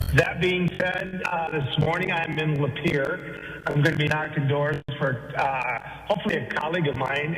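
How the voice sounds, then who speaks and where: A man with an American accent at a fairly high pitch, fairly slow pace and fairly even intonation, with audible room echo and noticeable background noise. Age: 60s. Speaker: state politician. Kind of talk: phone interview.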